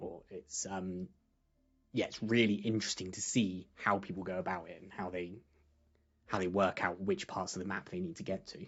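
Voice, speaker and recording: The voice is quiet. It moves at a moderate pace. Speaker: game commentator. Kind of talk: live commentary.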